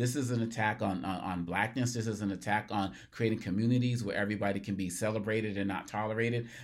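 Speaking at a very fast pace with hardly any pauses, a man with an American accent has a fairly low pitch. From US Northeast, Massachusetts (Cambridge). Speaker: podcast host, commentator on race and equity. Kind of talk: solo commentary monologue. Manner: animated, repeats words when starting phrases.

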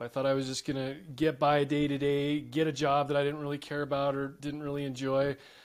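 A man with an unremarkable speaking voice talks at a fairly quick pace, his pitch fairly high, on a very clean recording with a silent background. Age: 40s. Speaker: business coach. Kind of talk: casual interview chat.

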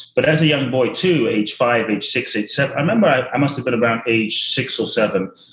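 A man speaks at a very fast pace with ordinary pitch variation. His voice is somewhat breathy. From South London. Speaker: motivational speaker and author. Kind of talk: casual interview chat. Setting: video call.

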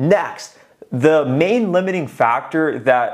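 An energetic man with a fairly high pitch for a man and lively intonation. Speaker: sales coach and YouTuber. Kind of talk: monologue video advice. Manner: loud, energetic.

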